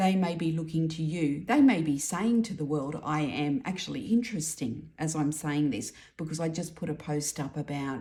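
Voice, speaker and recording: A woman's very deep, low voice, dark and mellow in tone and somewhat breathy, with lively intonation, a moderate pace and hardly any pauses. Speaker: tarot reader. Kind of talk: tarot reading monologue.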